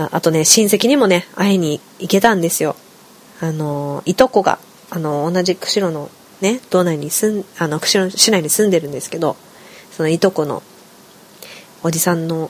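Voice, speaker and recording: Noticeable background noise accompanies a woman with a fairly low pitch. She leaves long, frequent pauses. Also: ordinary pitch variation, moderate pace. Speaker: podcast host. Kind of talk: solo casual talk.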